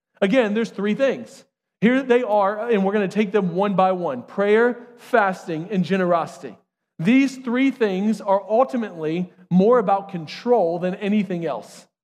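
At a moderate pace, a man with a high pitch speaks using ordinary pitch variation. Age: 30s. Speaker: pastor. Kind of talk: sermon. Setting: church.

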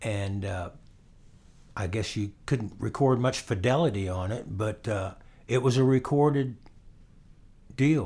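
A man with an American accent speaks at a medium pitch with a dark, mellow, somewhat breathy tone and ordinary pitch variation. His pace is fairly slow with long, frequent pauses, on a very clean recording with a silent background. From Florida. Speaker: guitarist and songwriter. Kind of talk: casual interview. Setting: at home.

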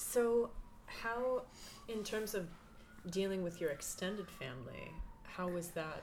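A woman at medium pitch talks at a fairly slow pace with lively intonation and long, frequent pauses. Audible room echo fills the recording. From Palestinian background. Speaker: oral history interviewer. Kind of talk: oral history interview. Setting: own apartment. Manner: hesitant, many fillers.

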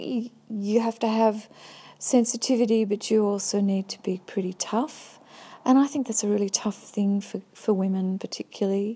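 At a moderate pace, a woman speaks in a dark, mellow tone that is somewhat breathy, with fairly even intonation, on a very clean recording with a silent background. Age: 50s. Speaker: visual artist. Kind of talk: personal testimony monologue. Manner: halting, many fillers.

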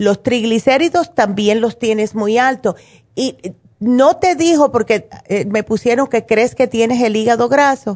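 An animated woman speaks at a fairly slow pace in a fairly high voice with ordinary pitch variation, very even loudness, and a dry, close sound with no echo. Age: 60s. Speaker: naturopath radio host. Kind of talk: call-in health advice show.

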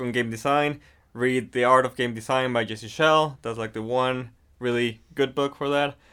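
A man speaks at a medium pitch with monotone, flat intonation. The recording is very clean, with a silent background. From Mexico. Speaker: game designer. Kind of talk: casual interview chat.

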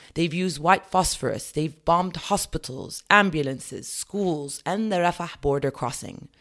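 A woman with a British accent speaks at a fairly low pitch with ordinary pitch variation. She leaves hardly any pauses. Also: moderate pace. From England. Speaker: writer. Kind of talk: reading aloud.

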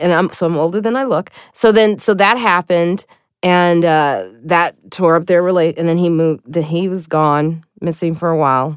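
In a normal speaking voice with an American accent, a woman speaks at a moderate pace and a fairly low pitch with ordinary pitch variation, in a dry, close sound with no echo and a quiet background. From Chicago, US Midwest. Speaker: stand-up comedian. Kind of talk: casual chat.

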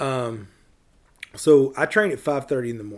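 Here a man talks with a Tennessee accent. His pitch variation is ordinary. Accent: Tennessee Southern. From US South. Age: 40s. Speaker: small business owner. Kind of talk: casual chat. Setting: in person.

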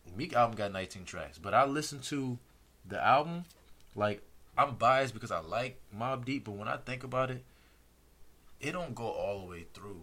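A man's medium-pitched, bright and sharp voice, broken by long, frequent pauses. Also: lively intonation, moderate pace, big swings in loudness. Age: 30s. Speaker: podcast guest. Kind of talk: casual chat.

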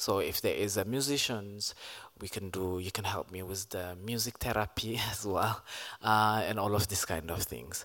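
In a normal speaking voice, a man talks at a fairly low pitch and a fairly slow pace with fairly even intonation, on a very clean recording with a silent background. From Ethiopia. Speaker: performance artist and activist. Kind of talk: panel discussion. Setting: stage with audience.

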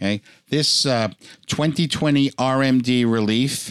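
A man's unremarkable speaking voice at medium pitch, with ordinary pitch variation, in a dry, close sound with no echo. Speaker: tax professional podcast host. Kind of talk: educational podcast discussion.

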